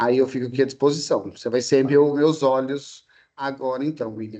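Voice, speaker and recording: Using fairly even intonation, a man speaks at medium pitch with a dark, mellow tone. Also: moderate pace. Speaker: history and sociology teacher, lecturer. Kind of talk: online lecture to students.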